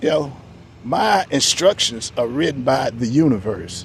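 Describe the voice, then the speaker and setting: Against noticeable background noise, a man with a medium pitch talks at a fairly slow pace with lively intonation. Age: 60s. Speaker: vlogger. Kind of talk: casual monologue. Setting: outdoors in the shade. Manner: halting, repetitive.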